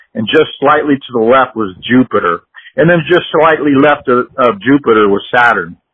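This man has a plain, everyday voice at medium pitch with ordinary pitch variation. He talks at a moderate pace. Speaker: amateur astronomy enthusiast. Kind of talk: casual science chat. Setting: phone call.

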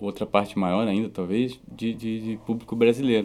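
A man's voice sits at a medium pitch. The intonation changes only a little, staying fairly even. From southern Brazil (Rio Grande do Sul). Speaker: musician. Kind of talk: interview. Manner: halting.

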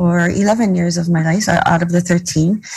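This woman's voice is somewhat breathy. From Hawaii, Molokai. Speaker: educator and community organizer. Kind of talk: interview.

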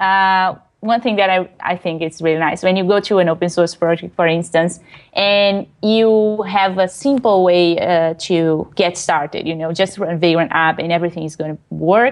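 A woman in a Portuguese accent speaks at a moderate pace in a fairly low voice with fairly even intonation. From Brazil. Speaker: web developer and technical writer. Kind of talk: interview. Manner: hesitant, many fillers.

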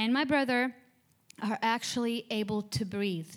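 Lively intonation in an Arabic accent, captured in a very clean recording with a silent background. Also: woman. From Jordan, Amman. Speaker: church member giving testimony. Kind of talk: testimony. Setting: stage with audience.

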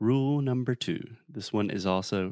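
With lively intonation, a man speaks in a South Carolina accent, the sound dry and close with no echo. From US South. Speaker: English teacher. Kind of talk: casual lesson. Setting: remote call.

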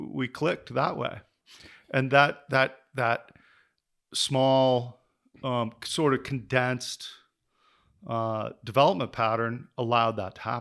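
With a Western US accent, a man of medium pitch talks at a fairly slow pace, with fairly even intonation and long, frequent pauses. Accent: General American (Western US). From Denver, Colorado. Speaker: community and land planner. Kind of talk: casual interview conversation.

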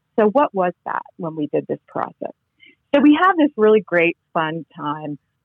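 With an American accent, a woman speaks at a fairly low pitch. Her pitch swings very widely. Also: moderate pace. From New England (Connecticut). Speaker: seminary professor and author. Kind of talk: interview.

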